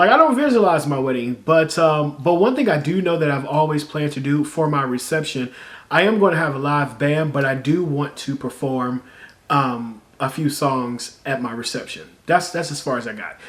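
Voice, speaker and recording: A man with an unremarkable speaking voice, a fairly high pitch, ordinary pitch variation and a moderate pace. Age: 30s. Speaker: YouTuber and singer-songwriter. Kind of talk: casual vlog storytelling. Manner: conversational, many fillers.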